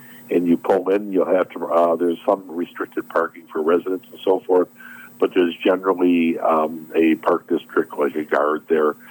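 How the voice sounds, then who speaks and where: An American-accented man speaks at a moderate pace in a very deep, low voice with monotone, flat intonation. The sound is dry and close with no echo, and the background noise is noticeable. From US Midwest, southeastern Wisconsin. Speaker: boating safety volunteer officer. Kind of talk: radio interview.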